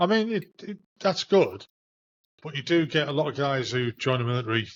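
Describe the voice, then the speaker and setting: Speaking at a moderate pace in a northeast English accent, a man swings his pitch very widely. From Hartlepool, northeast England. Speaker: podcast host, army veteran. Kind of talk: casual interview chat.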